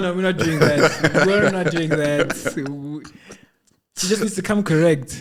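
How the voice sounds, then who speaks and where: A man's high voice, with ordinary pitch variation, moves at a very slow pace. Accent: Lesotho. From South Africa. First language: Sesotho. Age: 20s. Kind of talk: casual podcast conversation.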